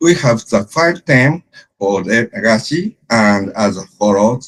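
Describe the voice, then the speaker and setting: A man with a Japanese accent, medium pitch, very even loudness, lively intonation and a very slow pace. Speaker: sports event organizer. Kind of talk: presentation. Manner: halting.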